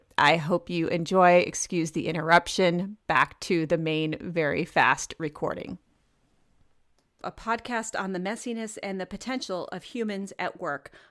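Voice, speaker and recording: Recorded very cleanly against a silent background, with a dry, close sound and no echo, a woman speaks at a fairly low pitch with ordinary pitch variation. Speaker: podcast host. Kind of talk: solo podcast monologue. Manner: fast; energetic.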